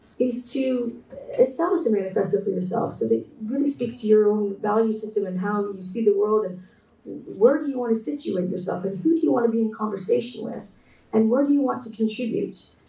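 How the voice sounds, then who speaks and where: Against noticeable background noise and audible room echo, a woman talks at a fairly quick pace with a fairly high pitch and lively intonation. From Canada. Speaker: textile artist and designer. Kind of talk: keynote presentation. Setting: online conference talk. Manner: hesitant, many fillers.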